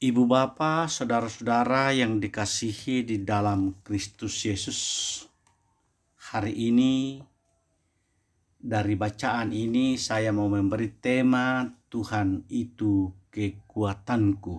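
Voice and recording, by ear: At a slow pace, a man talks in a fairly low pitch with ordinary pitch variation.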